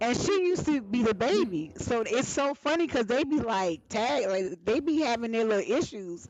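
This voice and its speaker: Noticeable background noise sits behind a woman with an American accent. She talks at a moderate pace with very wide pitch swings, very even loudness and hardly any pauses. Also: fairly high pitch for a woman. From Alabama, US South. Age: 40s. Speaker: talk show host. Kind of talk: live panel talk show. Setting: live stream.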